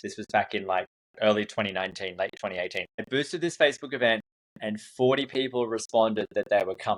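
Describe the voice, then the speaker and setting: A very fast-talking man with an Australian accent, medium pitch and lively intonation, in a dry, close sound with no echo. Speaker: event marketing consultant. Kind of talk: podcast interview. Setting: studio.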